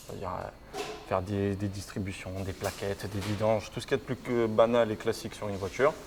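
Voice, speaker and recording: Noticeable background noise sits behind a man speaking at a fairly quick pace. His pitch is fairly low and his intonation fairly even. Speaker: apprentice mechanic. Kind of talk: interview. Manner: casual, hesitant with fillers.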